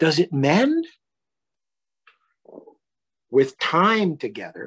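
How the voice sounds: Speaking at a very slow pace, the voice carries a slightly husky edge. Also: man.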